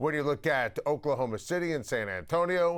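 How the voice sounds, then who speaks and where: Using an ordinary speaking voice, a man with an American accent talks at a moderate pace, fairly high in pitch with lively intonation, on a very clean recording with a silent background. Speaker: sports talk show host. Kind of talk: loud opinionated sports talk rant. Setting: studio.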